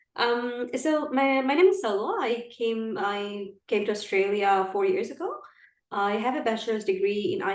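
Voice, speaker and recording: Audible room echo surrounds a woman's voice. Her pitch is fairly high and her intonation lively. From Saudi Arabia. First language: Arabic. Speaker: diaspora activist. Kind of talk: podcast interview.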